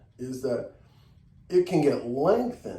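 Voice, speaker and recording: With an American accent, a man of medium pitch speaks at a moderate pace and with lively intonation, music playing in the background and room echo audible. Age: 60s. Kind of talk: tutorial.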